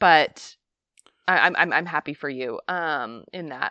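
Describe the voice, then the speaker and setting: A woman's raspy, put-on character voice, very deep and low in pitch, at a very slow pace. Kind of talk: deadpan. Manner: flat monotone delivery.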